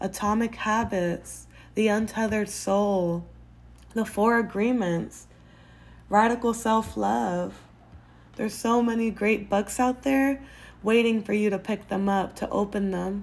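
A woman talks at a fairly slow pace with long, frequent pauses. Her voice is somewhat breathy, medium in pitch, with fairly even intonation. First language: Spanish. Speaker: podcast host. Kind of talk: casual advice monologue.

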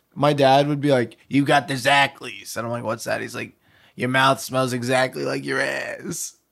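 Speaking at a moderate pace, a man with a normal speaking voice keeps a medium pitch and fairly even intonation. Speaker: podcast co-host. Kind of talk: casual chat. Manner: laughs a lot.

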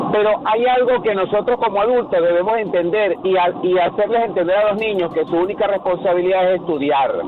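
A man talks at a fairly quick pace in a high voice with ordinary pitch variation, with very even loudness and hardly any pauses. Noticeable background noise can be heard. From Venezuela. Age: 40s. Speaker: caller. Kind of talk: call-in discussion.

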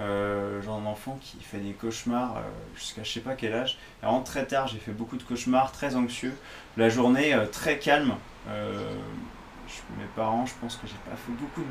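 A man speaks at a moderate pace and medium pitch with fairly even intonation, his loudness swinging widely over noticeable background noise. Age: 30s. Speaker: fitness coach. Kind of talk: solo podcast monologue. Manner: hesitant, many fillers.

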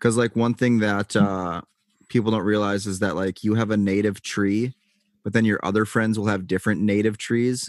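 A man's fairly low, monotone, flat voice, dry and close with no echo. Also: moderate pace. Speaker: podcast host. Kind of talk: casual chat. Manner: casual, chatty.

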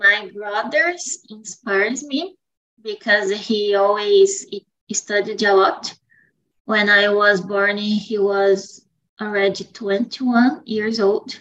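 In a Brazilian accent, a woman talks at a very slow pace. Her pitch variation is ordinary. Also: medium pitch for a woman. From Brazil, São Paulo State. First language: Portuguese. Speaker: student. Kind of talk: group English conversation practice.

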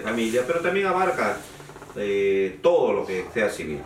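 Room echo is audible, and there is noticeable background noise. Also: man. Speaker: lawyer. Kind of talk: interview. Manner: halting.

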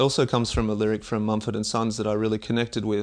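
This man speaks in a fairly low pitch with monotone, flat intonation. The background is quiet. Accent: Australian. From Australia. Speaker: Olympic discus thrower and athletics coach. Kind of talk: interview. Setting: in person, at a track and field club.

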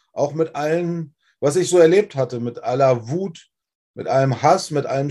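Fairly slow speech from a man with a fairly high pitch and an unremarkable speaking voice. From Germany, Wolfsburg (Lower Saxony). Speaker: former rock singer. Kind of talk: testimony interview. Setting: livestream.

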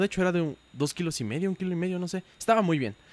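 Recorded with a dry, close sound and no echo, a man talks in a high pitch. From Puebla, Mexico. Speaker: podcast co-host. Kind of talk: casual chat.

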